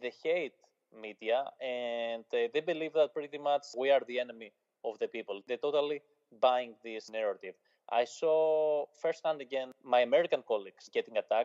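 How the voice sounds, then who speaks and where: A man speaks with a Greek accent. His pace is moderate and his pitch variation is ordinary. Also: medium pitch for a man. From Greece. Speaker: journalist. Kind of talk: interview.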